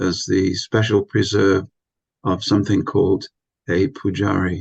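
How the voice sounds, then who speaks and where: In a dry, close recording with no echo, a man with a fairly low pitch talks at a moderate pace with vocal fry. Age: 60s. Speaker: spiritual teacher. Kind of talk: lecture. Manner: hesitant fillers.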